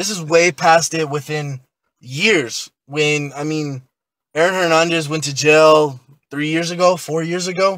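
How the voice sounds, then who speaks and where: A normal speaking voice at a fairly slow pace with fairly even intonation, captured in a very clean recording against a silent background. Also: man, fairly high pitch for a man. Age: 20s. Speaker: podcast guest, protester. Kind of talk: casual podcast discussion.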